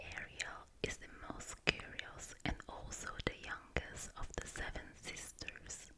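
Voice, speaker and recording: A woman whispers very slowly while noticeable noise sounds in the background. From Italy. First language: Italian. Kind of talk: ASMR book reading. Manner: whispering, soft-spoken.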